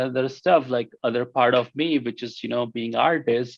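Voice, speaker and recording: A man talks at a medium pitch. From India. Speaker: healthcare IT professional and dancer. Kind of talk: interview. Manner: halting.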